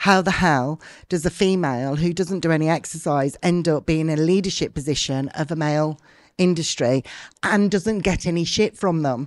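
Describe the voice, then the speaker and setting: A woman's plain, everyday voice, fairly low in pitch, with ordinary pitch variation and a moderate pace over a quiet background. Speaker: martial arts business leader. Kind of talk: interview conversation.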